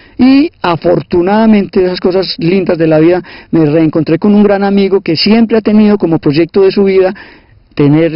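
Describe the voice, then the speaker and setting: The man's pitch moves in an ordinary way. He keeps his delivery at a moderate pace. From Colombia, Caldas (Salamina). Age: 60s. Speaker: sociologist and teacher. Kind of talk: interview, life story. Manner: hesitant repetitions.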